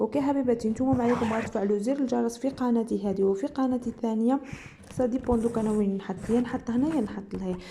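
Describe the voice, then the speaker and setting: In an Algerian accent, a woman speaks at a fairly quick pace, her fairly high pitch following a fairly even intonation. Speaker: sewing and embroidery youtuber. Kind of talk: casual chat.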